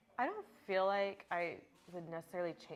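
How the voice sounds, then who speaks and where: With an ordinary speaking voice and an American accent, a woman talks at a fairly quick pace in a fairly low pitch, her intonation fairly even. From small town in Texas. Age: 30s. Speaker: dancer. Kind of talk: casual interview chat.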